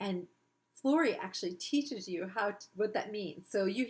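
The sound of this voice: An unforced reading voice with lively intonation sounds out against quiet surroundings.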